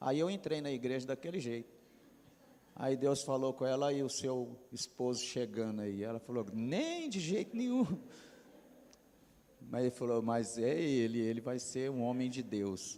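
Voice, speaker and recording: At a fairly slow pace with long, frequent pauses, a man speaks at a medium pitch in a dark, mellow tone. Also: ordinary pitch variation. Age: 60s. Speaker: pastor. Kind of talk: testimony.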